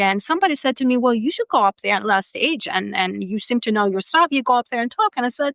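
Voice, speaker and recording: A woman speaks with a Greek accent. The recording is very clean, with a silent background. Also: dry, close sound with no echo. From Greece. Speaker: data and AI executive and career coach. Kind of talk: podcast interview. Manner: animated.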